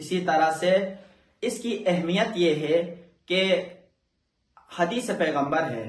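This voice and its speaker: This man's voice sits at a high pitch. It carries ordinary pitch variation. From Pakistan. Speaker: Quran teacher and Islamic scholar. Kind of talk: religious lesson to camera.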